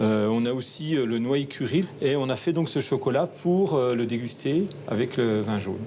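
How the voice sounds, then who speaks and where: A man at medium pitch with ordinary pitch variation, a fairly slow pace and hardly any pauses, against noticeable background noise. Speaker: chocolatier. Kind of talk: documentary interview. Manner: hesitant, many fillers.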